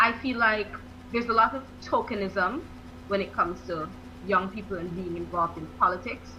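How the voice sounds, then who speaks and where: Over noticeable background noise and audible room echo, a woman talks at a fairly quick pace with big swings in loudness. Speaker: academic, youth advocate. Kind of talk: radio interview.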